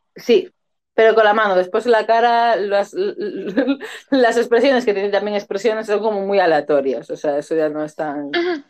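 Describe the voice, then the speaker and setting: A woman talks at a moderate pace with lively intonation and a medium pitch. Hers is a plain, everyday voice. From Canary Islands, Spain. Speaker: podcast co-host. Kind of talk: casual chat.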